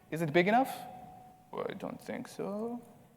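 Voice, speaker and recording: A man speaks with a non-native accent at a moderate pace. His intonation is lively. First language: not English. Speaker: conference speaker. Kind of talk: conference talk with live demo.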